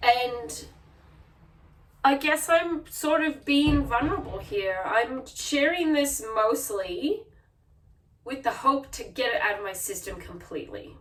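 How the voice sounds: A woman speaks slowly at a fairly high pitch, her tone fairly bright and her intonation lively. There is audible room echo.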